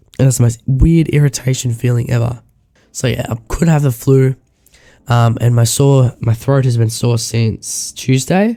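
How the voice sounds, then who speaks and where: At a moderate pace, a man speaks in a somewhat breathy, dark, mellow voice of medium pitch, with fairly even intonation and very even loudness. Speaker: vlogger. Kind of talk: casual vlog, digital diary.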